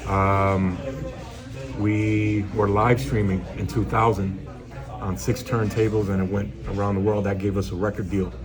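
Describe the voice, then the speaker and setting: Noticeable background noise and audible room echo surround the recording. A man with a New York accent speaks fairly slowly at a fairly low pitch. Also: ordinary pitch variation. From New York City, the Bronx. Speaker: DJ. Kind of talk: interview. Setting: restaurant. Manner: soft-spoken.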